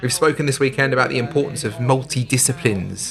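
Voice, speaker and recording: Noticeable background noise fills the recording. Over it, a man speaks at a fairly quick pace. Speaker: sports commentator. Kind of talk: live modern pentathlon commentary. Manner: steady, informative, upbeat.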